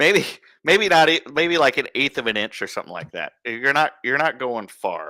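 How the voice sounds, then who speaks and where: At a moderate pace and with lively intonation, the bright, sharp voice carries an Iowa accent in a dry, close, echo-free recording that is very clean with a silent background. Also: man. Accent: Iowa accent, northern US. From Iowa, US Midwest. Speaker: embroidery teacher, friend of host. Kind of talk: casual instructional chat. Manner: halting, repeats words.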